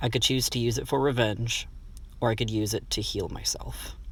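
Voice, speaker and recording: A man at a moderate pace. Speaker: shamanic practitioner. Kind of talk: personal story told to camera.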